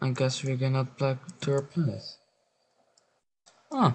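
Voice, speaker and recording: This speaker has a non-native accent and a somewhat breathy voice, moving at a fairly slow pace. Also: man. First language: not English. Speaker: gaming YouTuber. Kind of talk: gameplay commentary. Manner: halting.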